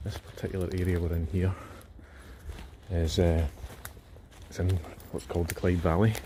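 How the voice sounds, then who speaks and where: Pausing long and often, a man with a Scottish accent speaks at a moderate pace in a very deep, low pitch with fairly even intonation. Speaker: outdoor vlogger, cryptid enthusiast. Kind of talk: casual walking vlog narration. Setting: outdoors in woodland.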